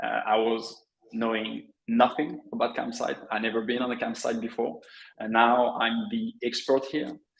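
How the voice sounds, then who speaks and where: With a French accent, the speaker talks at a moderate pace. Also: man. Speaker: affiliate network director. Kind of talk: webinar interview. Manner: hesitant, many fillers.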